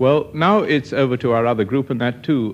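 The speaker is male. His pace is moderate. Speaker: radio show host. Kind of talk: radio announcement. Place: studio. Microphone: old recording.

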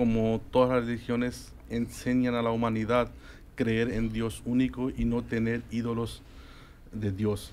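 Light background noise sits under a man speaking fairly slowly in a monotone, flat intonation. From Spain. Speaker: guest. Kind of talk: interview on religion. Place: studio. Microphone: studio mic.

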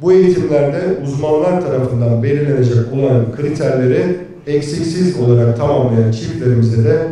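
A man talks at a moderate pace with ordinary pitch variation, and there is strong room echo. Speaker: candidate. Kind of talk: campaign speech presenting projects. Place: hall.

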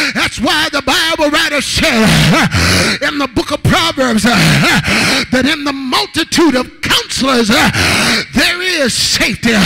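A man speaks in a raised, projected voice at an extremely high pitch, with ordinary pitch variation and a fairly slow pace. Background noise is noticeable. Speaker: guest preacher. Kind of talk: rousing call-and-response Pentecostal sermon. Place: church. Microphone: handheld.

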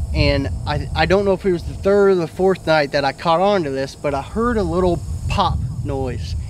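A man speaks at a moderate pace, the sound dry with no echo and a little background noise underneath. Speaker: storyteller. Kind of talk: casual storytelling to camera. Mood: earnest, mildly spooked recounting. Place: garden.

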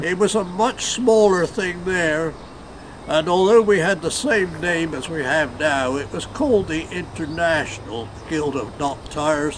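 A man's high-pitched voice, fairly slow and with lively intonation, over noticeable background noise. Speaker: knot tyer, first president of knot tyers' guild. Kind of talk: interview answer.

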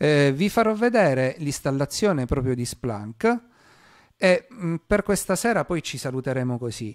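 Fairly high pitch for a man with very wide pitch swings at a fairly slow pace, against a quiet background. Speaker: cybersecurity streamer presenting a blue team segment; streamer presenting cybersecurity topic. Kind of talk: live-stream tutorial. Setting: live stream. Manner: hesitant, many filler sounds. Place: home room. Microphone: mic level adjusted, first too quiet then too loud.

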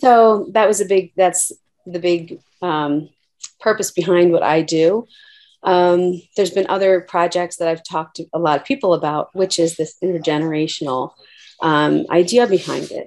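A woman at a moderate pace, fairly low in pitch, with ordinary pitch variation. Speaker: nurse practitioner. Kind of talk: casual discussion. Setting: video call. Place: home room. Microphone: video skipping connection; webcam.

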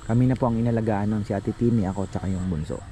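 A man talks very fast in a fairly low voice whose pitch moves in a normal way. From Bicol, Philippines. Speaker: gardening vlogger. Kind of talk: casual vlog narration.

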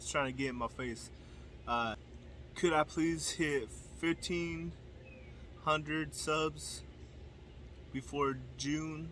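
At a very slow pace with long, frequent pauses, the voice comes through dry with no echo and light background noise. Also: man. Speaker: youtuber. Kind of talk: casual vlog chat. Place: garden. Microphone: phone near.

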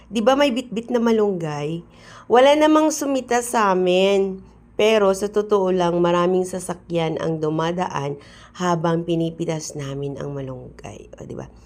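A woman speaks at a medium pitch and a fairly slow pace. Her tone is animated, with very wide pitch swings. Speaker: vlogger. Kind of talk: casual vlog narration. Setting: outdoors.

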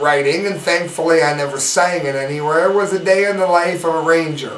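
With audible room echo and light background noise, a man speaks at a high pitch. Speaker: online news commentator. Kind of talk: news commentary. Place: home room.

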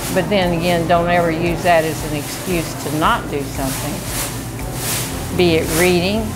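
Clear music sounds behind the speaker. She is a woman talking. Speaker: senior center cook. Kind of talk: interview answer. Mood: cheerful, upbeat. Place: kitchen.

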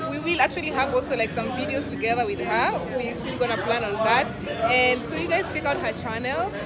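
A woman talking at a fairly quick pace, crowd noise in the background. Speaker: vlogger. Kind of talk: casual vlog chat. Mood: cheerful, relaxed. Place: bar. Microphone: phone near.

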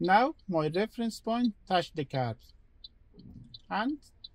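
Very slowly, a man speaks in a dry recording with no echo. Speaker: driving instructor. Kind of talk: tutorial. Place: car.

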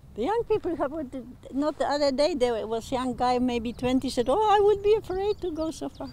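The speech moves at a moderate pace with very wide pitch swings, a dry sound with no echo and light background noise. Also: woman. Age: 90s. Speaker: senior swimmer. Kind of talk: interview answer. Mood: enthusiastic, warm storytelling. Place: waterside.

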